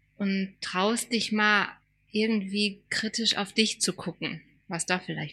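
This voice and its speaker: A woman's bright, sharp tone comes across on a very clean recording with a silent background. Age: 40s. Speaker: podcast co-host, former teacher. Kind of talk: casual chat.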